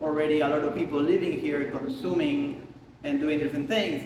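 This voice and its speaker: With an Argentinian accent, a man speaks at a moderate pace and a fairly high pitch, with audible room echo and noticeable background noise. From Argentina. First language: Spanish. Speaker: photographer. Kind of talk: casual interview during a studio visit. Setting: artist studio. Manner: speaking louder over the air conditioning.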